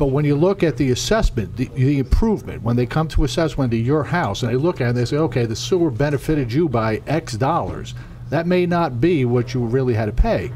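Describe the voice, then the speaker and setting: Amid noticeable background noise and audible room echo, a man at medium pitch speaks at a fairly quick pace with lively intonation. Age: 60s. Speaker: township council member. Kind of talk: public meeting remarks. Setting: township council meeting.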